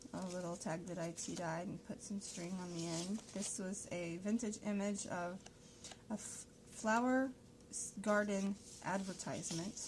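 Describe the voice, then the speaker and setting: A woman mumbles at a fairly slow pace. Her voice sits at a medium pitch with fairly even intonation. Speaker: crafter showing handmade journals. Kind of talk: product flip-through tutorial. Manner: mumbling; casual, halting with fillers.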